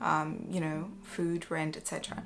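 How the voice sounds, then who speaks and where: A woman speaks quietly at a moderate pace in a flat monotone, with noticeable background noise. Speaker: vlogger. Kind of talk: casual chat. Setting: home, evening. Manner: hesitant, many fillers.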